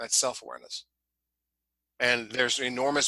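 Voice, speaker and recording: A man with a Midwestern American accent speaks at a medium pitch in a flat monotone. His tone is bright and sharp, and the sound is dry and close with no echo. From Ohio, Columbus area. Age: 60s. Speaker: leadership coach. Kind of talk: podcast interview.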